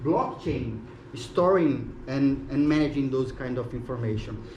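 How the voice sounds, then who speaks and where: Audible room echo surrounds a man whose fairly high voice moves with lively intonation at a fairly slow pace. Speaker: web3 mentor presenting at tech event. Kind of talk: short conference presentation.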